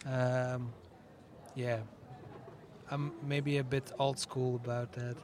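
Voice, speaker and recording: Amid noticeable background noise, a man speaks very slowly in a flat monotone, leaving long, frequent pauses. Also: medium pitch for a man. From Netherlands. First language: Dutch (speaking French). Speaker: musician. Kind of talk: interview. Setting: festival radio booth.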